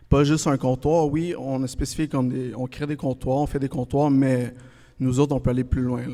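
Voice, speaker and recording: A man's medium-pitched voice, dark and mellow in tone, flat and monotone in intonation, on a very clean recording with a silent background. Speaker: countertop company representative. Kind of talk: casual interview. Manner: hesitant, many fillers.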